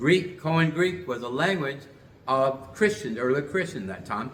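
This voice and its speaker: Amid audible room echo, a man with a fairly high pitch and lively intonation speaks at a fairly slow pace. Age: 60s. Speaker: religious teacher and show host. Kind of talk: lecture. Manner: halting.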